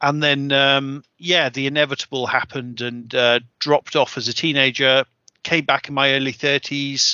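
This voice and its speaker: Monotone, flat intonation with a British accent. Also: man, fairly high pitch for a man, moderate pace. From UK. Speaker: podcast host, tabletop wargamer. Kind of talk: casual chat.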